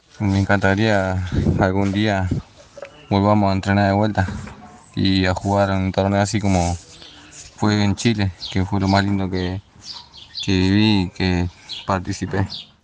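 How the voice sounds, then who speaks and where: A man's fairly low, monotone and flat voice at a fairly slow pace, with long, frequent pauses and noticeable background noise. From Rosario, Argentina. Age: 30s. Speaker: amateur footballer and construction worker. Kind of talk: interview.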